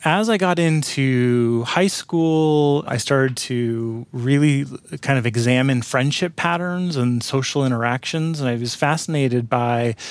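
Recorded very cleanly against a silent background, a man with an American accent talks at a medium pitch with ordinary pitch variation. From US West Coast, San Francisco Bay Area. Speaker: psychology professor. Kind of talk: research interview.

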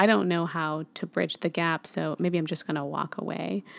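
Dry and close with no echo, a woman's plain, everyday voice moves at a fairly quick pace, fairly low in pitch with ordinary pitch variation. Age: 30s. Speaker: podcast host. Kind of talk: casual interview.

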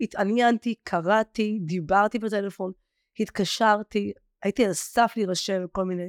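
A woman speaks slowly in an ordinary speaking voice, fairly high in pitch, with a dry, close sound and no echo. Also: very clean recording, silent background. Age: 40s. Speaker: former client of a weight-loss program. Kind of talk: interview.

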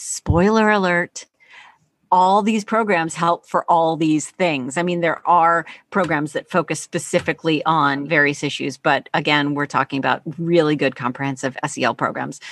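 This is an ordinary speaking voice with ordinary pitch variation at a moderate pace. The sound is dry and close with no echo, over a quiet background. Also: woman, fairly low pitch for a woman. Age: 50s. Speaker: teacher and author. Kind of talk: interview.

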